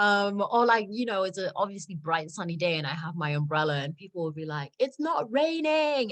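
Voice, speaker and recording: A woman with a British accent speaks at a fairly quick pace and a medium pitch, her voice swinging very widely in pitch with hardly any pauses. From South Africa. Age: 20s. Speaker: model. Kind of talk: interview answer. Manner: casual, many fillers.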